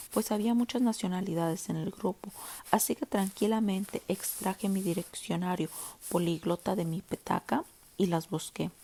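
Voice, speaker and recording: A woman with a Latin American accent speaks at a moderate pace and medium pitch, her dark, mellow tone somewhat breathy and her pitch variation ordinary, in a dry, close sound with no echo. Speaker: audiobook narrator. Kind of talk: audiobook reading. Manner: minimalist, plain reading.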